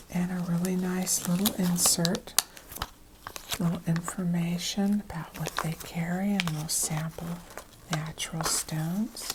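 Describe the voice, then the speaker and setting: The speaker is soft-spoken, with a calm tone, monotone, flat intonation and a fairly slow pace, over noticeable background noise. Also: woman, fairly low pitch for a woman. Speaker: crochet and craft content creator. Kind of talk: soft-spoken ASMR-style craft show-and-tell. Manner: soft-spoken, calm.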